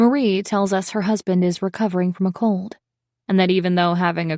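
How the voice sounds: A natural reading voice with fairly even intonation comes through against a quiet background.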